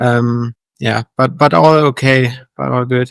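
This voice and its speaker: A man talks at a very slow pace and medium pitch with fairly even intonation. The sound is dry and close with no echo. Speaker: elite fitness racing athlete. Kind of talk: casual interview chat. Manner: hesitant, many fillers.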